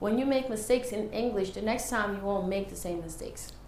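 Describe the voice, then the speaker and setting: In a room with audible echo and noticeable background noise, a woman speaks fairly quickly in a fairly high pitch. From Senegal, moved to New York at nine. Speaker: English teacher. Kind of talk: interview.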